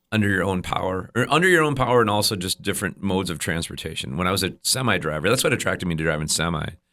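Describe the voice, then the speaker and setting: A man with an American accent and a very deep, low pitch speaks in a bright, sharp tone with ordinary pitch variation, recorded very cleanly over a silent background. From central Wisconsin. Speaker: musician. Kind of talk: casual chat. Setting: studio.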